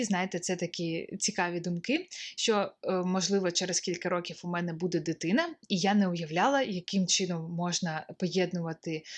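In a quiet background, a woman speaks at a moderate pace and medium pitch. She has an unremarkable speaking voice. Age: 20s. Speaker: stock photographer and video blogger. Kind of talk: casual vlog monologue.

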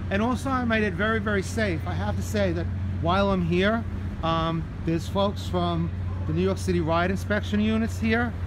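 A man with a very deep, low pitch talks at a moderate pace, with fairly even intonation and very even loudness. Noticeable background noise runs underneath. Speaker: vlogger giving a tour. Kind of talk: casual vlog chat. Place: street. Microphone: phone near.

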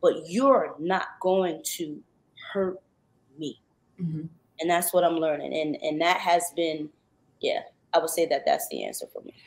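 A woman speaks at a fairly slow pace, leaving long, frequent pauses. Her loudness swings widely. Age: 40s. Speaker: R&B singer; guest. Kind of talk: radio interview. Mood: earnest, testimonial, faith-driven. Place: home room.

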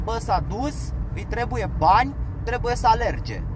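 Over noticeable background noise, a man speaks with a dry sound and no echo. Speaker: vlogger, former van driver; van driver vlogger giving advice. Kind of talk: casual vlog talk while driving. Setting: in a car. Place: car. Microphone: camera far.

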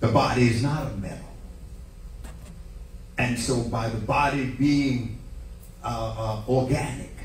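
A man talks at a fairly slow pace with fairly even intonation. The recording has audible room echo and light background noise. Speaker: preacher. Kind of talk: sermon. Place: church.

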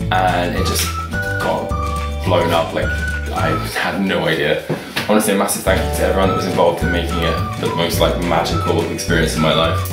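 Loud music plays in the background as someone talks at a fairly quick pace. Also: man. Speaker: vlogger. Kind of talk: casual talk to camera. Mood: grateful, happy. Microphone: webcam.

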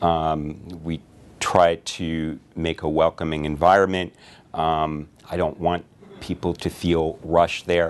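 Very slow and monotone with flat intonation, a man speaks at a very deep, low pitch, leaving long, frequent pauses. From Connecticut. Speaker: physician. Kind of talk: self-introduction to camera. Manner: conversational with frequent fillers. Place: office.

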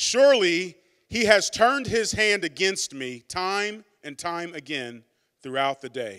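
A man with a high, bright, sharp voice that also has a warm tone speaks at a fairly slow pace against a quiet background. His pitch swings very widely and his loudness rises and falls by a lot. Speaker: pastor. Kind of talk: sermon. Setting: church. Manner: warm, earnest, conversational preacher. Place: church. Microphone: handheld.

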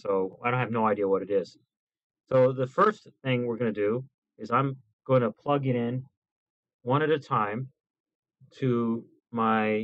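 A man's voice with ordinary pitch variation and long, frequent pauses. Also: quiet background. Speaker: YouTuber. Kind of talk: casual gear review video. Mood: playful, joking. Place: home room.

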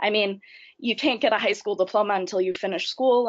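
An unremarkable speaking voice with an American accent moves at a fairly quick pace, with ordinary pitch variation. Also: woman. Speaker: youth council member, shelter worker. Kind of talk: webinar presentation. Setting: online webinar.

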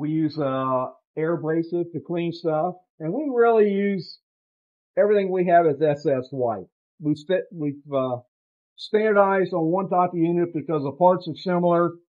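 A man's high-pitched voice with long, frequent pauses. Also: ordinary pitch variation, moderate pace, quiet background. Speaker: lab tour guide. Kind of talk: guided tour explanation. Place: workshop. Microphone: phone near.

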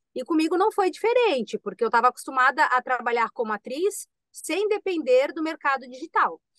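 The speech moves at a fairly quick pace with very wide pitch swings. The sound is dry, with no echo. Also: woman, high pitch for a woman, hardly any pauses, quiet background. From Santa Catarina, Brazil (Itajaí). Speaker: actress, podcast guest. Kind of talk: casual interview. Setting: video call. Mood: earnest, emotional. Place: home room. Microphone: video call.

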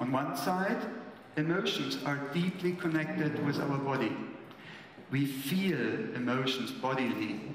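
A fairly slow male speaker with ordinary pitch variation, audible room echo and light background noise. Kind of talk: lecture. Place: stage. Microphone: podium.

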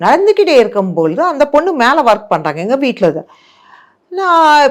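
A woman talks with very wide pitch swings. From Andhra Pradesh, India. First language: Telugu (speaking Tamil). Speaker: meditation teacher and magazine editor. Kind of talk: testimony.

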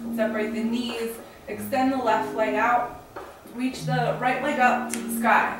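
A woman speaks fairly slowly, her voice carrying audible room echo amid noticeable background noise. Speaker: yoga teacher. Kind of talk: tutorial. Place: home room. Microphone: camera far.

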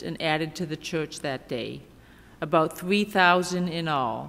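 The woman talks at a fairly slow pace. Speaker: seminary intern preacher. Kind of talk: scripture reading in sermon. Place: church. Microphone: podium.

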